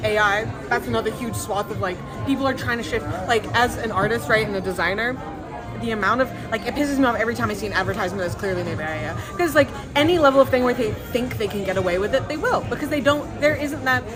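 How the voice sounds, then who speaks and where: A woman speaking at a very fast pace, with audible room echo and music in the background. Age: 20s. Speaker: recent graduate, artist and designer. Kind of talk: casual interview chat.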